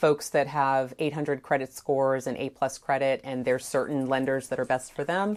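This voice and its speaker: Recorded very cleanly, the background is silent. The speaker is a woman. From Jamaica. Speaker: real estate agent. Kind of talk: interview. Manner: frequent fillers and restarts.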